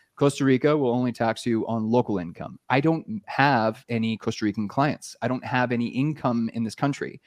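A man speaks in an unremarkable speaking voice with a Canadian accent, at a medium pitch and moderate pace, with hardly any pauses and ordinary pitch variation. The sound is dry and close with no echo, over a quiet background. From Canada. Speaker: YouTube marketing entrepreneur. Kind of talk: podcast interview.

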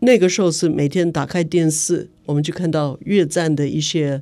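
A woman's very deep, low voice with a dark, mellow tone and an English accent, at a fairly slow pace with fairly even intonation, in a very clean recording with a silent background. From United States. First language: English (speaking Chinese). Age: 70s. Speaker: human rights activist. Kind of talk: interview. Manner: halting, many fillers.

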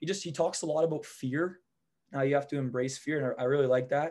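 A man with a plain, everyday voice moves at a fairly quick pace with fairly even intonation. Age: 20s. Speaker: window cleaning business operator. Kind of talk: casual interview chat.

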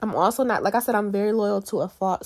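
On a very clean recording with a silent background, a woman talks. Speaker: podcast host. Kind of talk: solo podcast monologue, casual.

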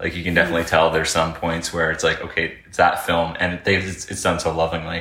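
With a Canadian accent, a man mumbles in a very deep, low pitch with a bright, sharp tone. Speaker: podcast co-host. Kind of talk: casual chat. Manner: mumbling.

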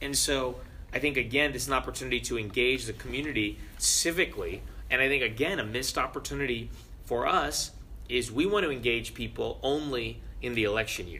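Speaking fairly quickly, a man is heard with audible echo from the room. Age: 20s. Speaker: city council candidate. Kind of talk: interview.

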